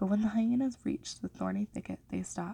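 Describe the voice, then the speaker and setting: A woman who is soft-spoken talks here. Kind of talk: ASMR story reading.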